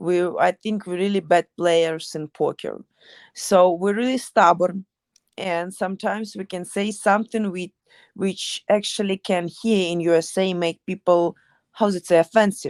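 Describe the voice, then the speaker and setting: A woman's medium-pitched voice with a strong Ukrainian accent, at a moderate pace with fairly even intonation, the sound dry and close with no echo on a very clean recording with a silent background. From Ukraine. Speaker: MMA fighter. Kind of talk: interview. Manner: halting.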